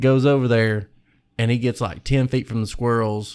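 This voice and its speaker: In a very clean recording with a silent background, a man speaks. His pace is moderate and his intonation fairly even. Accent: Kentucky. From Kentucky. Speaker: hunter. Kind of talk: casual chat.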